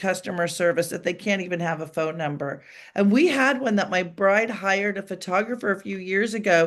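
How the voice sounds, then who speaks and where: A woman speaks at a medium pitch with ordinary pitch variation, fairly quickly and with hardly any pauses. The background is quiet. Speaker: celebrity wedding planner. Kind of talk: podcast interview. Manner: fast; animated.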